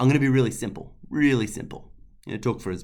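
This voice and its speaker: The pace is very fast. He is a man with an Australian accent. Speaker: health service climate leader. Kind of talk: webinar presentation.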